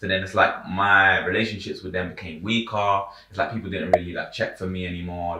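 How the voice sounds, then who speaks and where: A very fast, flat, monotone voice in a London accent, with audible room echo. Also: man. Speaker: rapper and producer. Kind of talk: casual chat. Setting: on a sofa.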